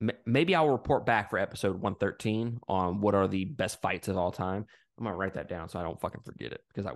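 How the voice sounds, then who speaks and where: Speaking fairly quickly in an animated tone, a man with a Southern US accent is heard over a quiet background. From Mississippi, US South. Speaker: podcast guest. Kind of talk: casual chat.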